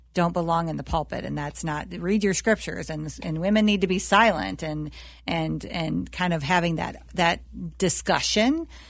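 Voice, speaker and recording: In a very clean recording with a silent background, a woman talks at a moderate pace. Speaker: pastor. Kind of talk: interview.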